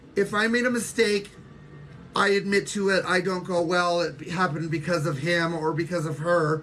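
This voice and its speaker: At a moderate pace, a woman with an ordinary speaking voice talks at a fairly low pitch, with ordinary pitch variation. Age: 60s. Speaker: social media livestreamer. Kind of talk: casual livestream chat.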